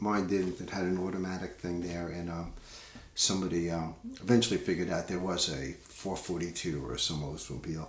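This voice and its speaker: A relaxed man's very deep, low voice in a Long Island accent, fairly quick in pace with ordinary pitch variation, amid audible room echo. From US Northeast, Long Island, New York. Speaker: singer-songwriter, podcast host. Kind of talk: casual talk about his songwriting. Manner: relaxed, many fillers.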